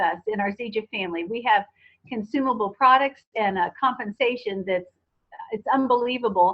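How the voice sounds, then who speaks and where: A woman with an ordinary speaking voice keeps a moderate pace, her fairly high pitch showing ordinary pitch variation. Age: 60s. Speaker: network marketing distributor. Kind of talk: testimony.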